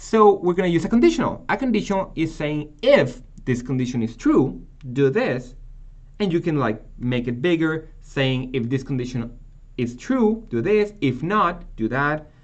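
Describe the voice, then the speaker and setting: At a moderate pace, a man with a non-native accent speaks in a fairly high voice that makes very wide pitch swings. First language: not English. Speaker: programming teacher. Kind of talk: tutorial. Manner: halting.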